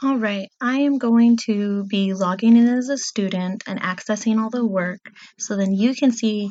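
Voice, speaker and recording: A woman's somewhat breathy voice at a medium pitch with ordinary pitch variation. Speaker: fourth grade teacher. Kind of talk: tutorial screen walkthrough for students.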